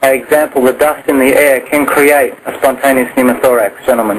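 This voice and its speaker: A man with a medium-pitched voice rattles on at a very fast pace in a flat monotone, hardly pausing, against noticeable background noise. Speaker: clinical educator for nurses. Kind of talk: medical teaching on a conference call.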